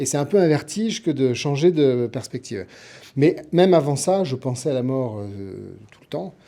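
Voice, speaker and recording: Lively intonation and big swings in loudness mark this man's dark, mellow voice, pitched fairly high. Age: 60s. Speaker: TV producer and writer. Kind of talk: radio interview. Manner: hesitant, many fillers.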